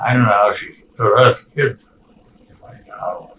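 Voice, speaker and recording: Speaking at a very slow pace, a man is heard here. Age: 80s+. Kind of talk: interview answer. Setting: home recording, poor sound.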